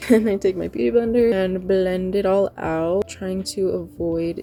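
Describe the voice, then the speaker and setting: A woman's voice with music in the background. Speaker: beauty vlogger. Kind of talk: tutorial. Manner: casual.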